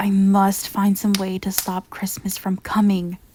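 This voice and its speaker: A woman growls in a put-on character voice at a medium pitch. Her intonation is monotone and flat, and her pace is moderate. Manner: growling, sneering.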